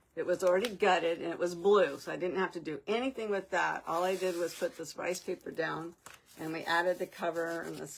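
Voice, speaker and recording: Here a woman has an unremarkable speaking voice. Her pitch is fairly low and her pace moderate. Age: 60s. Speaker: crafting livestream host. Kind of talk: live craft stream chat. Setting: live stream.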